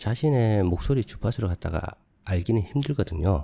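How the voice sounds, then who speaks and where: Very deep, low-pitched man, somewhat breathy with a dark, mellow tone, lively intonation and a fairly quick pace, on a very clean recording with a silent background. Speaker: video editing tutorial youtuber. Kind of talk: tutorial. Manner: casual, conversational.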